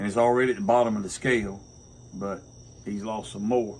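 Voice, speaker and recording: A man talks in a Southern US accent. His pace is moderate and his intonation fairly even. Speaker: pastor and homesteader. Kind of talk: casual chat. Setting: outdoors on front porch.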